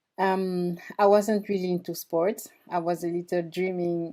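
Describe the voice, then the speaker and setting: A woman with a strong French accent speaks at a very slow pace in a dark, mellow tone. Her pitch is fairly low, with fairly even intonation. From France (moved from Equatorial Guinea at age three). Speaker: former Olympic athlete and performance coach. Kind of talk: podcast interview.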